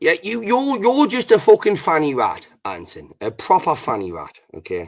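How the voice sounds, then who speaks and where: Talking at a moderate pace with a British accent, a man lets his loudness swing widely. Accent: British English, regional. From Britain. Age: 40s. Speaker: livestream host. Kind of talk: casual chat.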